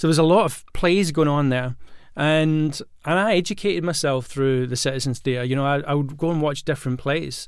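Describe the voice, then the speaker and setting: With a Glaswegian accent, a man talks at a fairly quick pace in a fairly high voice with ordinary pitch variation. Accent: Glaswegian Scottish. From Scotland (Glasgow). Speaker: acting coach and podcast host. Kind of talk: solo podcast monologue. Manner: casual with many fillers and restarts.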